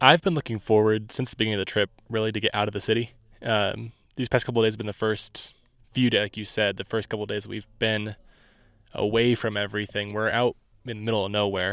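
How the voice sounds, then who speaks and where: With a Midwestern American accent, a man talks very fast in a flat monotone at a fairly low pitch. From US Midwest, Indiana. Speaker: production assistant and assistant editor. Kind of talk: casual chat. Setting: outdoors on a mountaintop.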